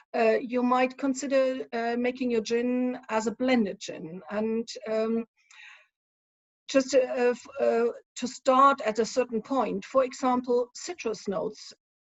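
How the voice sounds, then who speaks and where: A woman speaks fairly slowly with a strong German accent. Her pitch is fairly high and her intonation fairly even. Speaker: spirits consultant. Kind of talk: conference talk. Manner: hesitant, many fillers.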